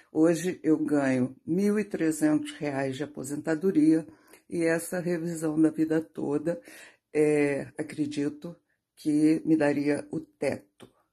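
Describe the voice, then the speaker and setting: In a quiet background, a woman speaks very slowly in a very deep, low pitch with a dark, mellow tone and fairly even intonation. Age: 60s. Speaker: retiree giving testimonial. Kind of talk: testimony. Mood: calm, earnest complaint. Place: home room. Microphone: phone near.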